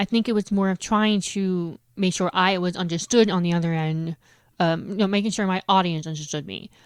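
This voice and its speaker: A plain, everyday voice at a fairly quick pace, with fairly even intonation and a dry, close sound with no echo. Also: woman, medium pitch for a woman. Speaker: deaf guest. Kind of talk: casual chat.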